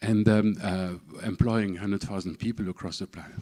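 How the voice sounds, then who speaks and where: Speaking in a French accent at a fairly quick pace, a man with a fairly low pitch is heard on a very clean recording with a silent background. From southern France, Camargue. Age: 60s. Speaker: speaker at a public event. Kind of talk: personal talk to an audience. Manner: halting, many fillers and repetitions.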